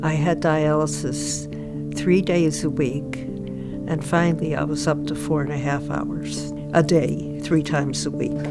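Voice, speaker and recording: Over music in the background, a woman speaks at a fairly slow pace with hardly any pauses. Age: 70s. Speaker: transplant recipient. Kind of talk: interview answer.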